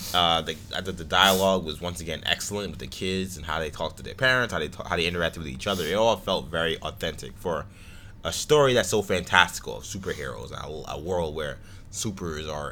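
The voice has vocal fry and a bright, sharp tone. It moves at a very fast pace. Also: man. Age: 20s. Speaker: podcast host. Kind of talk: casual chat.

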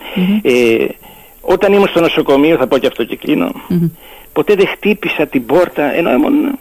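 At a moderate pace, a man speaks in a high voice with very wide pitch swings over noticeable background noise. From Greece, Lemnos island. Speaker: author of a local dialect dictionary. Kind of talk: radio interview.

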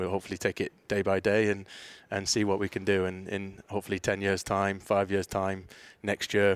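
A man with a Teesside accent speaks at a fairly quick pace in a fairly low, monotone voice with flat intonation, recorded very cleanly against a silent background with a dry, close sound and no echo. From northeast England, Middlesbrough. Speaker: youth soccer academy director. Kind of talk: interview.

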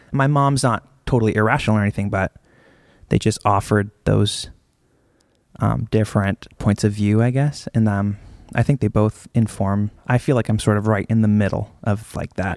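A man with an American accent and a normal speaking voice, fairly low in pitch and fairly even in intonation, in a dry, close sound with no echo on a very clean recording with a silent background. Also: moderate pace. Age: 30s. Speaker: drummer. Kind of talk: interview on stage. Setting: stage with audience.

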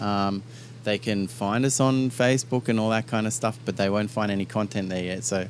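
This man talks fairly quickly in a fairly low voice. His intonation stays fairly even. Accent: Australian. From Australia. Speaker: singer in a band. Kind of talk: casual interview. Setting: radio studio in an Airstream trailer.

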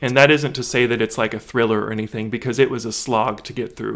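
A man's medium-pitched voice with vocal fry and fairly even intonation. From central Kentucky (Lexington). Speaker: book content creator. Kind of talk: casual interview chat.

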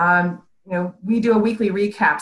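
A woman with a medium pitch talks in a somewhat breathy voice with ordinary pitch variation. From Ohio, US Midwest. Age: 50s. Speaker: business strategist. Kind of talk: interview.

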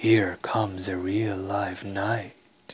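A man's put-on character voice, fairly low in pitch, with monotone, flat intonation. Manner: commanding, teacherly.

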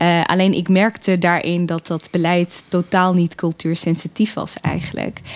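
Dry, close sound with no echo, carrying a woman's fairly low pitch and monotone, flat intonation at a fairly slow pace with hardly any pauses. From Netherlands, Assen (born in Eritrea). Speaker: political candidate, political scientist. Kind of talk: podcast interview.

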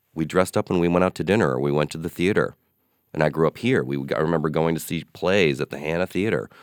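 In a very clean recording with a silent background and a dry, close sound with no echo, a man speaks very fast at a very deep, low pitch with vocal fry. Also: ordinary pitch variation. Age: 40s. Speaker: podcast host and style blogger. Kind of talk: casual interview chat.

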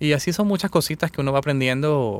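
In a very clean recording over a silent background, a man speaks at a very fast pace. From Venezuela. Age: 30s. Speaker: engineer and business club president. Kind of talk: radio interview. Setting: radio studio.

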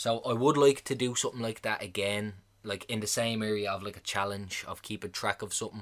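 A man with an Irish accent speaks at a fairly quick pace in a fairly low pitch, on a very clean recording with a silent background. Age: 20s. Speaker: podcast host. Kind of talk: casual monologue. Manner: fast; animated.

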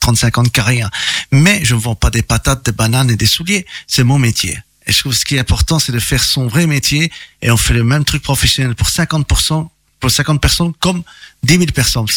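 A man's normal speaking voice at medium pitch and moderate pace, dry and close with no echo. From Belgium, Charleroi, Italian family. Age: 50s. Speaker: singer. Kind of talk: interview.

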